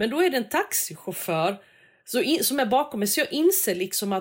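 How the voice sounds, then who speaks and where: In a very clean recording with a silent background, a woman speaks at a moderate pace, her pitch swinging very widely. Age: 40s. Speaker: food podcast co-host. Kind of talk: casual chat.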